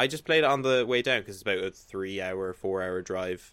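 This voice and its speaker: With an Irish accent, a man talks in a very deep, low pitch with ordinary pitch variation. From Ireland. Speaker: gaming website guest. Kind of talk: casual chat.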